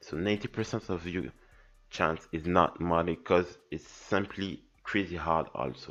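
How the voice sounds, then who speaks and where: A man speaks with a French accent in a very deep, low voice. His intonation stays fairly even while music plays in the background. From France or francophone region. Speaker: modding tutorial youtuber. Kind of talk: tutorial. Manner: halting.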